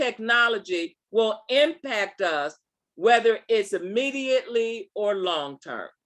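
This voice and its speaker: A woman speaks very slowly in a raised, projected voice, her pitch swinging very widely. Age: 70s. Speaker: STEM speaker answering youth questions. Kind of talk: conference Q&A.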